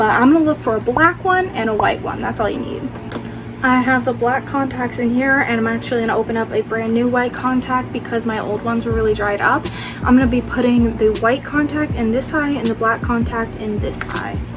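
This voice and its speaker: Noticeable background noise sits under a woman talking fairly quickly. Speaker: makeup tutorial youtuber. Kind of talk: tutorial. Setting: at home at night.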